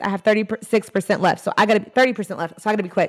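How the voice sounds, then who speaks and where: A woman's medium-pitched voice with an animated tone. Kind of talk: live stream teaching session. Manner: loud.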